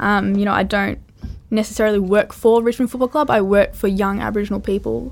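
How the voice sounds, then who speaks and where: Here a woman speaks with an Australian accent at a medium pitch. She goes at a very fast pace with fairly even intonation. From western New South Wales, Australia. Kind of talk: casual interview.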